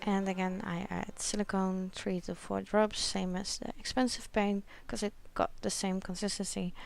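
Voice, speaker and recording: A woman with a Dutch accent speaks at a moderate pace. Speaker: acrylic pouring artist. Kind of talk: tutorial voice-over. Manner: awkward, not very enthusiastic.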